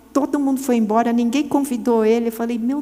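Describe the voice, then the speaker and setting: Over noticeable background noise and audible room echo, a woman speaks in a high pitch. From Brazil, São Paulo. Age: 60s. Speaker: women's ministry speaker. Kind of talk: sermon.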